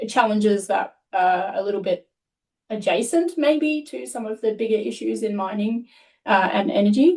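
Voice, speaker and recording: Speaking in an Australian accent, a woman uses a medium pitch, lively intonation and a moderate pace. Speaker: research scientist. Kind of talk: panel discussion.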